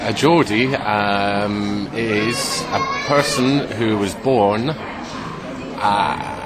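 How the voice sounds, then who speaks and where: A man with a slight Scottish accent speaks very slowly at a fairly low pitch, with ordinary pitch variation and hardly any pauses, amid audible room echo and noticeable background noise. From Scotland. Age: 30s. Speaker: English teacher. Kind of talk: casual interview. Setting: outdoors at a bar in a square. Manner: halting, many fillers.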